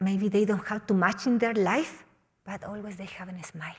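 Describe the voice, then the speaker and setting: Fairly even intonation and a moderate pace from a woman with a medium pitch. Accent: Chilean. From Chile. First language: Spanish. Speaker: mountaineer. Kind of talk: motivational talk. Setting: stage with audience. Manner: halting.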